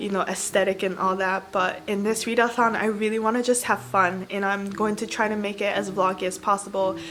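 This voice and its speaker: Hardly pausing, a woman talks at a fairly quick pace with a medium pitch and fairly even intonation. Background noise is noticeable. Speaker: book vlogger. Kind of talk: casual vlog. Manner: fast.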